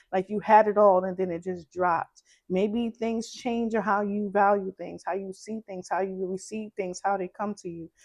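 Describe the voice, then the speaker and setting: A woman in a Brooklyn accent, monotone and flat, with big swings in loudness, hardly any pauses, and a dry, close sound with no echo. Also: medium pitch for a woman, moderate pace. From Brooklyn, New York. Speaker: tarot reader. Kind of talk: tarot reading.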